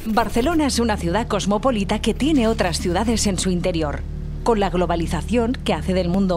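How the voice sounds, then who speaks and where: A woman's medium-pitched voice at a fairly quick pace, ordinary pitch variation, music in the background. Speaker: voice-over narrator. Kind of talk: documentary narration.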